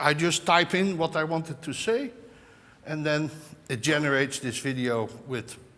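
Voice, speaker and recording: A man with a Dutch accent, his pitch fairly high, his pace fairly slow. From Netherlands. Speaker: tech executive opening a conference. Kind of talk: conference opening speech. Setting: stage with audience. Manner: halting.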